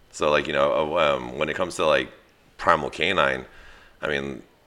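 A man with a very deep, low pitch and vocal fry speaks with an American accent. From US West Coast, East Side San Jose. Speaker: dog trainer and business owner. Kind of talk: casual chat. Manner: rambling with many fillers.

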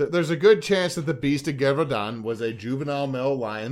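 Here a man speaks with an American accent. His voice sits fairly high in pitch. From Louisiana. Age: 30s. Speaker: podcast host. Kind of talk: casual chat.

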